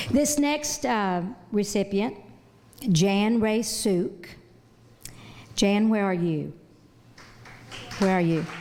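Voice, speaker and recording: Speaking very slowly with long, frequent pauses, a woman uses a medium pitch, lively intonation and very even loudness. Audible room echo and noticeable background noise run through the recording. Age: 60s. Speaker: awards presenter. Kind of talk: award presentation speech. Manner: halting.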